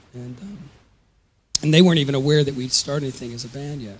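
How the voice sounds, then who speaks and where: A somewhat breathy man's voice with an American accent, fairly high in pitch, at a very fast pace. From US South (Georgia). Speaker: musician and charity founder. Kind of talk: interview. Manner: halting.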